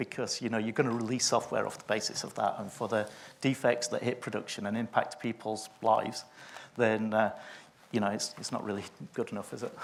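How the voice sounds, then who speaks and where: A man with a Yorkshire accent, a fairly low pitch and monotone, flat intonation at a moderate pace. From northern England, Sheffield. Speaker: test automation consultant. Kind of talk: conference panel discussion. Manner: hesitant, many fillers.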